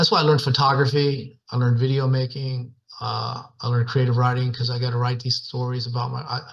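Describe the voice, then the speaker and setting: Speaking at a very fast pace with hardly any pauses, a man uses a medium pitch and a somewhat breathy voice. His intonation is monotone and flat. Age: 60s. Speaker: bronze sculptor, former bull rider. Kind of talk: interview conversation. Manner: casual, folksy with fillers.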